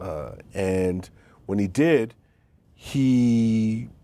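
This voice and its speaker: Captured on a very clean recording with a silent background, a man with a New York accent speaks at medium pitch in a dark, mellow tone with ordinary pitch variation. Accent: New York (Queens). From New York City, Queens. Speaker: author and college professor. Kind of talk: interview conversation. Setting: TV studio.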